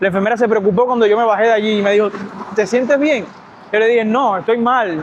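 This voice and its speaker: Very fast and high-pitched, a man speaks with ordinary pitch variation over noticeable background noise. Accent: Cuban. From Cuba. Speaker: medical worker vlogger. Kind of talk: casual storytelling vlog. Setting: outdoors by a lagoon. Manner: animated.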